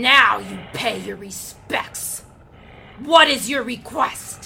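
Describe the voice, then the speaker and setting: A female-sounding, put-on character voice, growling at a very slow pace. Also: fairly high pitch for a woman. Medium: audio drama. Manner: imperious, haughty.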